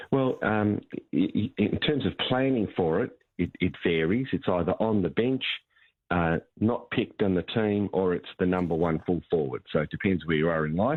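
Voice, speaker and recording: A man speaks at a moderate pace with a very deep, low pitch. His intonation is lively and his loudness stays very even. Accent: Australian. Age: 60s. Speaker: financial advisor. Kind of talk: radio talkback interview.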